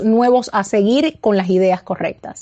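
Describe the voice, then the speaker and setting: This woman's pitch is fairly high. Her pitch varies in an ordinary way. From Cuba. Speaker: political campaign media director. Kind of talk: interview. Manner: halting.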